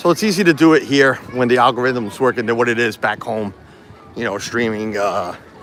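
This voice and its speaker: Someone speaks at a fairly quick pace with ordinary pitch variation as music plays in the background. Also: man, medium pitch for a man. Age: 40s. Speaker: YouTube streamer. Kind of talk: casual live-stream vlog talk. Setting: outdoors at theme park. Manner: blunt, unfiltered.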